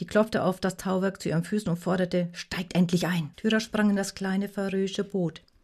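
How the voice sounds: Fairly even intonation in a natural reading voice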